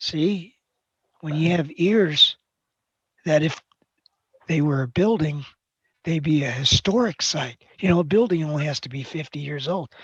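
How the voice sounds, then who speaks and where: At a fairly slow pace, a woman speaks with very deep, low pitch, somewhat breathy, with long, frequent pauses and big swings in loudness, the sound dry and close with no echo. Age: 60s. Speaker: accounting teacher. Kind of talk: classroom lecture. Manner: interactive questioning.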